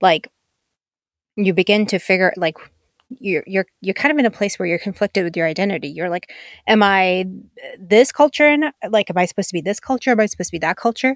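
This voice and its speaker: Speaking very fast with an animated tone and lively intonation, a woman at medium pitch leaves long, frequent pauses. The sound is dry and close with no echo, on a very clean recording with a silent background. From Pakistan. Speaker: podcast host. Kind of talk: casual monologue.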